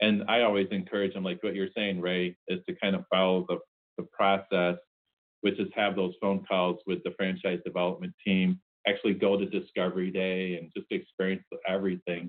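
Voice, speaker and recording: Speaking with an American accent, a man delivers a very deep, low voice at a moderate pace in a monotone, flat intonation. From Chicago. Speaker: franchise consultant. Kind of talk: casual interview.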